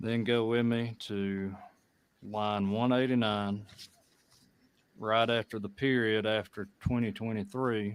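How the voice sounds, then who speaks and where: With an American accent, a man speaks very slowly in a fairly low pitch, his intonation monotone and flat, with long, frequent pauses. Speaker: state legislator. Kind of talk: committee hearing. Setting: legislative committee room. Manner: formal.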